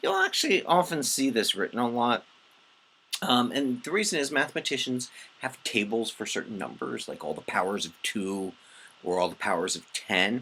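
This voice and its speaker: A man talks at a moderate pace with a medium pitch. His pitch swings very widely. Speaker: math teacher. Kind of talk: lecture. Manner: halting, many fillers.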